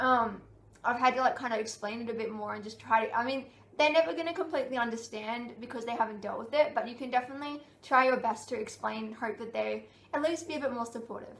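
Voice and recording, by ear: A woman's fast, fairly high voice with vocal fry and ordinary pitch variation, in a room with audible echo.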